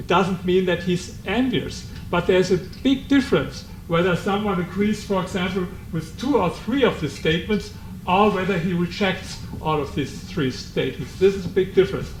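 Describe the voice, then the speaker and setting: With a German accent, a man talks in a high-pitched voice at a moderate pace, with ordinary pitch variation and noticeable background noise. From Germany. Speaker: author. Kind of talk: book presentation talk. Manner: halting.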